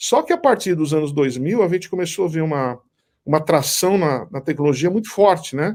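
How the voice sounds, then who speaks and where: A man with a fairly high voice speaks at a moderate pace with ordinary pitch variation, in a very clean recording with a silent background. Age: 60s. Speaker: business author and event co-founder. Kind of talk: interview. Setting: live stream. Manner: halting, with frequent restarts.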